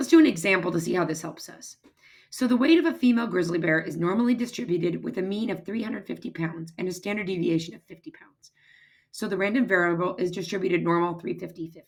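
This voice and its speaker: Talking at a very fast pace, a woman uses a medium pitch, and her loudness swings widely. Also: ordinary pitch variation. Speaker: math teacher. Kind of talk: lecture.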